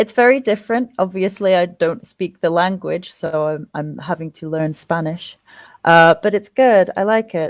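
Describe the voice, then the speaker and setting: A woman with an English accent speaks at a fairly low pitch and a moderate pace, with ordinary pitch variation. The sound is dry and close, with no echo. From England. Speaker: interviewee, former teacher. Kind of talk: casual interview.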